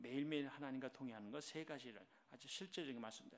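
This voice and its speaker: A man with a plain, everyday voice, at a fairly slow pace. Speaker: senior pastor. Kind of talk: sermon. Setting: church service.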